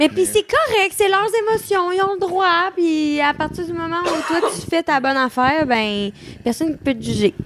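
Against noticeable background noise, a woman's extremely high voice makes very wide pitch swings at a moderate pace. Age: 20s. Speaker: podcast guest. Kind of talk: casual chat. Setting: live stream.

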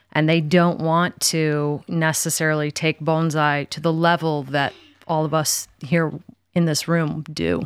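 Very deep, low female voice, moving fairly slowly with flat, monotone intonation. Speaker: bonsai artist and student. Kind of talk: casual group conversation.

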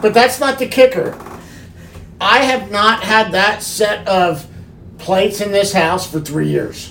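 There's a playful tone to this woman's medium-pitched voice, which shows ordinary pitch variation. She speaks at a fairly slow pace with long, frequent pauses, and background noise is noticeable. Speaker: podcast host. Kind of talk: casual banter podcast. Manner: joking, playful.

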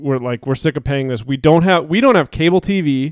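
In a very clean recording with a silent background, a man with a fairly high pitch and ordinary pitch variation sounds dry and close, with no echo. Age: 30s. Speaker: podcast host. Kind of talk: casual chat. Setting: basement, recording with live stream.

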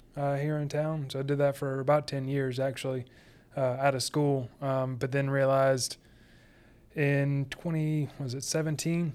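In a Southern US accent, a man talks at a moderate pace with a fairly high pitch and monotone, flat intonation. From US South, Sumter, South Carolina. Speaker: furniture maker. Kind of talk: interview. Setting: studio.

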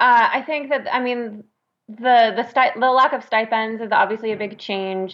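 Using a normal speaking voice, a woman with an American accent talks at a moderate pace, her fairly high pitch held to fairly even intonation. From New York. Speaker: audiobook narrator and actor. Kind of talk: casual chat.

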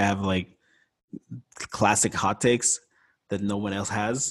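Fairly even in intonation, a man speaks at a moderate pace in an American accent. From Montreal, Quebec, with years in Florida. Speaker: visual artist and podcaster. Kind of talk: interview conversation.

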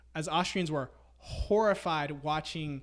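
A man with an American accent talks at a fairly slow pace and fairly high pitch with ordinary pitch variation, in a very clean recording with a silent background. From Memphis, Tennessee, US South. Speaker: friend of the host. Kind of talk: casual chat.

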